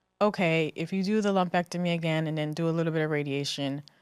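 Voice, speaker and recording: Speaking fairly quickly with an American accent, a woman keeps a fairly low pitch and fairly even intonation. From New Jersey. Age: 30s. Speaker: breast cancer survivor. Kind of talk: interview answer. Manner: hesitant, casual.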